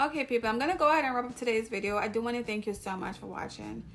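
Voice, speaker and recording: A woman with a Jamaican accent speaks at a very fast pace and a fairly high pitch. Music plays behind her. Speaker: YouTuber, hair vlogger. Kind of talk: casual vlog talk to camera.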